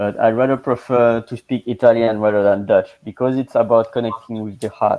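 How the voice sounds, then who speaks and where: With a French accent and a medium pitch, a man speaks at a fairly quick pace in a monotone, flat intonation with hardly any pauses. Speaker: language coach. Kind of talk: casual chat. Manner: halting.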